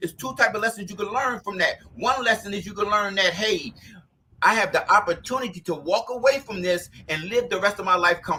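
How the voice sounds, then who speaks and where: A man uses a raised, projected voice with a bright, sharp tone and a high pitch. He talks at a very fast pace with ordinary pitch variation. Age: 50s. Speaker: podcast host. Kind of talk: casual chat.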